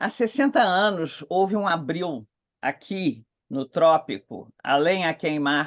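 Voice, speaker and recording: Over a quiet background, a woman with a fairly low pitch talks at a very slow pace, her pitch swinging very widely. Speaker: theology professor. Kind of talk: conference talk. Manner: slow, clear reading.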